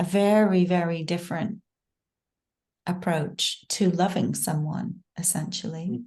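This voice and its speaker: A woman speaks at a very slow pace in a somewhat breathy voice with a dark, mellow tone. Her pitch is fairly low and her intonation fairly even. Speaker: podcast host. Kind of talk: interview question.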